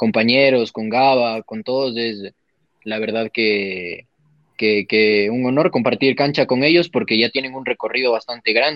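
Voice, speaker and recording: A man talks at a fairly slow pace with medium pitch and fairly even intonation, an ordinary speaking voice. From Ecuador, Quito. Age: 20s. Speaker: professional footballer. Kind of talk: interview.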